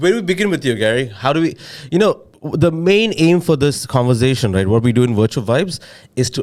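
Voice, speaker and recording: Delivered at a fairly quick pace with an Indian accent, the speech swings very widely in pitch. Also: man. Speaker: podcast co-host, head of product. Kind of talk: casual chat.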